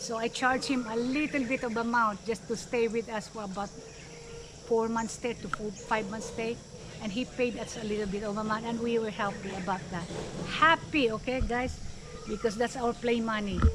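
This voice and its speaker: A woman speaks at a moderate pace with fairly even intonation and a fairly high pitch. Noticeable background noise is present. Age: 60s. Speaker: retired nurse vlogger. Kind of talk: casual vlog talk.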